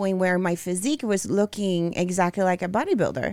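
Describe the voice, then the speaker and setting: Woman's medium-pitched voice in a Brazilian accent, very clean recording with a silent background. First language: Portuguese. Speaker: bodybuilding figure competitor. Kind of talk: interview.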